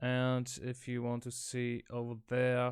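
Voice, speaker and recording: A man with a German accent talks at a very slow pace and medium pitch in a very clean recording with a silent background. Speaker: electronics hobbyist. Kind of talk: casual talk to camera, technical explanation. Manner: hesitant, many filler sounds.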